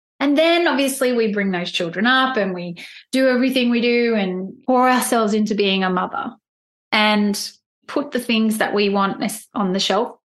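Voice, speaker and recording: With a normal speaking voice, a woman talks at a moderate pace and a fairly high pitch, with ordinary pitch variation. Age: 40s. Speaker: life coach and podcaster. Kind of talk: casual interview chat.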